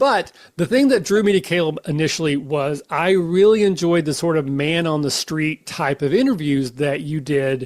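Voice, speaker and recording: This man talks at a moderate pace with an American accent. His pitch varies in an ordinary way. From United States. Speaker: podcast host. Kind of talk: casual chat. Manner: smooth.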